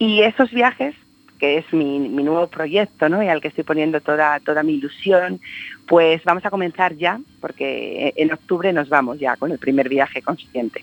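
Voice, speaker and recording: Lively intonation runs through a woman's very deep, low voice. She speaks at a moderate pace. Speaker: life coach and speaker. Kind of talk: radio interview. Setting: phone line.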